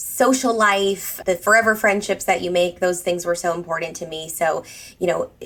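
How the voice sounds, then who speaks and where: This woman has a plain, everyday voice, speaking fairly quickly in a fairly low pitch with an American accent and fairly even intonation. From US Northeast. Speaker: etiquette trainer. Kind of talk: podcast interview.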